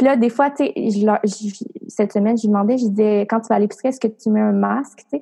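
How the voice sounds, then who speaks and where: A woman's fairly high voice with a dark, mellow tone, fairly even intonation, a very fast pace and long, frequent pauses. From Quebec, rural Portneuf area. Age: 20s. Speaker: entrepreneur and coach. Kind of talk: interview.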